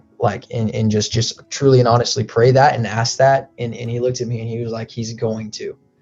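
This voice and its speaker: The speech runs at a fairly quick pace with hardly any pauses, in an American accent. Intonation stays flat and monotone while music plays in the background. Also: man, medium pitch for a man. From United States. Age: young. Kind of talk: interview answer. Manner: casual storytelling.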